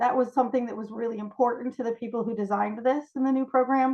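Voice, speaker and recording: In an American accent, the speaker goes at a very fast pace with fairly even intonation. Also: woman. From New York. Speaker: cubmaster and scout trainer. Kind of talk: training presentation.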